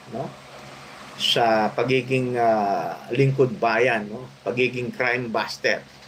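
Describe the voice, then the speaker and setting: Noticeable background noise sits behind a man speaking at a very slow pace. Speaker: vlogger, retired police officer. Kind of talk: casual vlog commentary. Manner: halting, many filler sounds.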